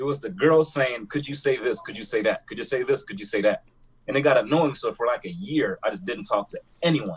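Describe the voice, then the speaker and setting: In a strong Jamaican accent, a man talks at a fairly quick pace with big swings in loudness. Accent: heavy Jamaican. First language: Jamaican Creole. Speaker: podcast co-host. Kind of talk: casual chat.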